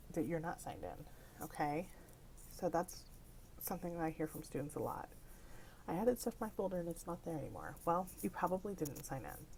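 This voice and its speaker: The woman's pitch is fairly low, with vocal fry. She talks at a fairly quick pace with ordinary pitch variation. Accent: American. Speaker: library technician. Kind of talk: tutorial.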